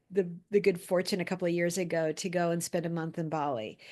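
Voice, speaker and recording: The recording captures a woman speaking against a quiet background. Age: 50s. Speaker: storyteller and speaker. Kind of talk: interview conversation. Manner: halting.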